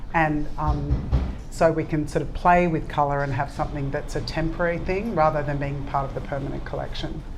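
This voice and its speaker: Over background music in a room with audible echo, a woman with an Australian accent and a very deep, low pitch talks at a fairly quick pace with fairly even intonation. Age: 60s. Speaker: ceramics brand founder. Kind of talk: panel talk answering audience questions. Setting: live event with audience.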